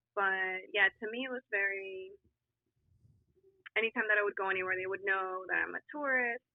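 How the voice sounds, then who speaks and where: With a slight Colombian accent, a woman at medium pitch keeps a moderate pace marked by long, frequent pauses. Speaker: podcast guest. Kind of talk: casual chat. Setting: video call.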